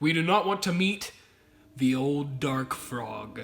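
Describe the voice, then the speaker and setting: Here a man does a put-on character voice with a fairly high pitch. His pace is fairly slow. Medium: comedy sketch.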